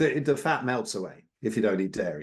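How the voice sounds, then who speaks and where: An English accent comes through at a moderate pace. The intonation is lively. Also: man. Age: 60s. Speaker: carnivore diet advocate. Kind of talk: interview.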